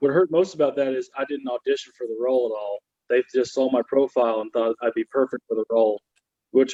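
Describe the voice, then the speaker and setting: This man has a Southern US accent. His pace is fairly quick. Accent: Southern American. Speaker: comedian. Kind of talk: stand-up comedy.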